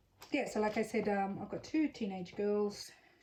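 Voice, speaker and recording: A woman with a dark, mellow tone and a somewhat breathy voice speaks at a moderate pace. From Australia, Sydney. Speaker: crafter. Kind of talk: casual craft tutorial. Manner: casual, hesitant with fillers.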